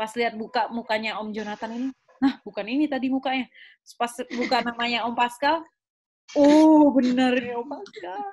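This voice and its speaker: A woman at a moderate pace with a high pitch. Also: ordinary pitch variation. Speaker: graduate student and youth organization founder. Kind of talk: podcast interview. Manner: animated.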